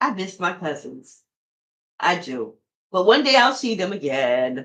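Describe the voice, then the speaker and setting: A woman speaks at a fairly slow pace in an animated tone, with vocal fry and very wide pitch swings. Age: 50s. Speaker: podcast host. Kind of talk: casual monologue.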